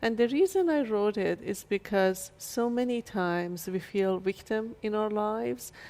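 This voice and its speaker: A woman with a Persian accent at a moderate pace, in a very clean recording with a silent background. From Iran, Shiraz. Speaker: chiropractor and author. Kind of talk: interview.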